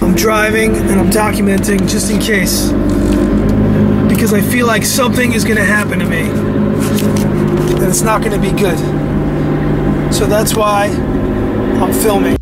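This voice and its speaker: Loud background noise fills the recording. A man speaks with long, frequent pauses. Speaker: ghost video vlogger. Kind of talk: casual vlog chat. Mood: anxious, uneasy. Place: car. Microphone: phone near.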